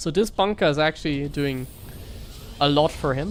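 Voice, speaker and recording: In a German accent, a woman with a very deep, low pitch talks at a moderate pace with ordinary pitch variation. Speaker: StarCraft streamer and caster. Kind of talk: live game commentary. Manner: animated.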